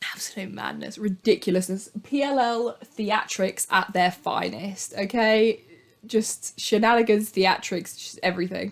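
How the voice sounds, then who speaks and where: Speaking with vocal fry at a medium pitch, a woman lets her loudness swing widely. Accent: British. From Britain. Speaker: youtuber. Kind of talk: casual commentary. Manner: animated.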